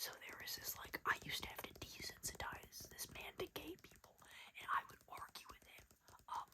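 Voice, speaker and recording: Someone whispers at a moderate pace. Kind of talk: casual talk to camera, gossip storytelling.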